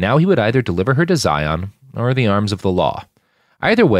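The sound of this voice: Quiet surroundings and an unforced reading voice.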